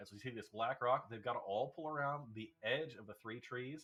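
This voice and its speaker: A man with an American accent speaks at a fairly quick pace with ordinary pitch variation. He has an unremarkable speaking voice. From United States. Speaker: race commentator. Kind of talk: live commentary.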